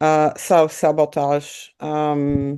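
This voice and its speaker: A woman speaks at a very deep, low pitch. Her tone is dark and mellow. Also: quiet background. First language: not English. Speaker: art student. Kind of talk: audience question. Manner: halting.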